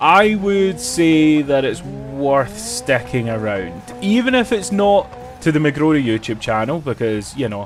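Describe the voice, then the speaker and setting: A man talks at a fairly slow pace. There is music in the background. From Scotland. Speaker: gaming streamer. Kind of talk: live stream chat.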